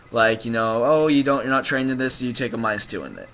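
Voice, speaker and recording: Noticeable background noise sits under speech that has ordinary pitch variation. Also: man. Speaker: gaming vlogger. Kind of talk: casual explanation monologue. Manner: fast; halting, many fillers.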